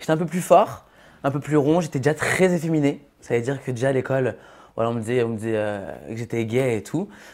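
The background stays quiet. A man speaks fairly quickly, his pitch varying in an ordinary way. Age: 20s. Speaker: reality TV contestant. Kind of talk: casual chat. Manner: halting. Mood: candid, a bit defensive. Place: studio. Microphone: lapel.

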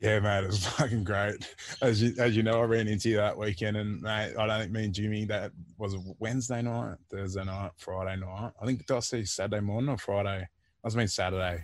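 With an Australian accent, a man talks at a fairly quick pace and fairly low pitch, in fairly even intonation and a dry sound with no echo. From Australia, Port Macquarie NSW. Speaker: former rugby league player. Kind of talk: casual interview. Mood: jovial, laughing. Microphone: earbuds.

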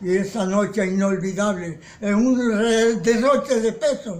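A man's voice sits high in pitch, and its pitch moves up and down an ordinary amount. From Caribbean coast of Colombia. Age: 80s+. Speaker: poet. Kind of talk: poetry reading. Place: home room. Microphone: phone near.

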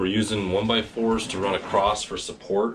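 A man's fairly low-pitched voice at a moderate pace, with noticeable background noise. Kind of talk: tutorial. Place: home room. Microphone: camera far.

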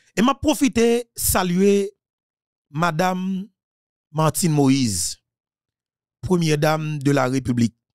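Speaking very slowly with long, frequent pauses, a man uses a fairly high pitch that swings very widely. His loudness stays very even, and the sound is dry and close with no echo. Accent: Haitian. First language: Haitian Creole (speaking French). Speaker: political commentator. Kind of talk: political monologue.

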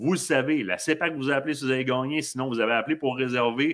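A man with a Quebec accent speaks at a moderate pace against a quiet background. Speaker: hunting show host. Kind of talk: live stream interview. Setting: studio. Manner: animated. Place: home room. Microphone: webcam.

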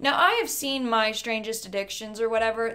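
Light background noise behind a woman speaking. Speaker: reaction video creator. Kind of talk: casual commentary. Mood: amused, sarcastic. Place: home room. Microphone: studio mic.

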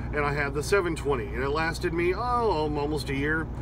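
The delivery is at a moderate pace. The sound is dry with no echo, but there is noticeable background noise. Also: man. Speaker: truck driver vlogger. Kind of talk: casual vlog chat. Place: car. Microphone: phone near.

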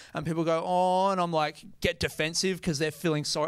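A man speaks at a moderate pace with an Australian accent. His pitch sits high. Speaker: stand-up comedian. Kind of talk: stand-up comedy set. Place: stage. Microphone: handheld.

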